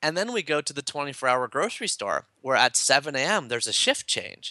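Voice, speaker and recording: A bright, sharp voice with a Canadian accent at a moderate pace, with ordinary pitch variation, in a dry, close sound with no echo and a quiet background. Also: man. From Canada (Toronto). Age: 30s. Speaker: author and happiness speaker. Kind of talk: casual interview.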